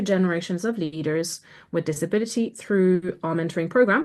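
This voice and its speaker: Against a quiet background, a woman with a French accent talks at a fairly quick pace with ordinary pitch variation. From France. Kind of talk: webinar presentation. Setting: video call.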